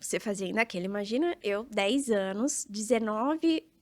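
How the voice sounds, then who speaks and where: A woman's fairly high, ordinary speaking voice at a moderate pace, on a very clean recording with a silent background and a dry, close sound with no echo. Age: 30s. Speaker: real estate entrepreneur and influencer. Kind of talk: podcast interview.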